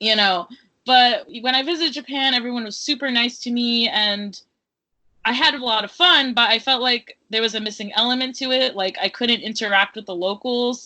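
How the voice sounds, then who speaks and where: A woman with an American accent, high-pitched, with ordinary pitch variation at a moderate pace. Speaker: writer and educator. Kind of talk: interview. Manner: casual, many fillers.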